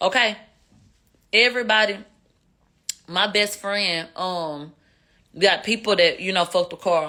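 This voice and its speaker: A woman with a Houston accent talks at a moderate pace and a fairly low pitch, with ordinary pitch variation. Her tone is bright, sharp and animated. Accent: Houston twang. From Houston, Texas. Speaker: live streamer commentator. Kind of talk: casual livestream commentary. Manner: slurred speech.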